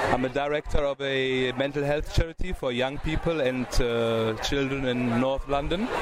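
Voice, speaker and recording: Noticeable background noise runs behind a man speaking at a moderate pace with fairly even intonation. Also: medium pitch for a man. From Germany. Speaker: charity director. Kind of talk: interview. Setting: outdoor event, noisy.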